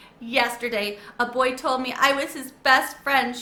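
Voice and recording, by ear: In a squeaky, high-pitched put-on character voice, a woman talks at a moderate pace.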